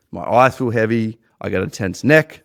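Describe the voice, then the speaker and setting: Here a man speaks with an Australian accent. His pitch sits in the medium range. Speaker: podcast host and business owner. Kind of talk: personal testimony monologue. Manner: halting, many repeated words.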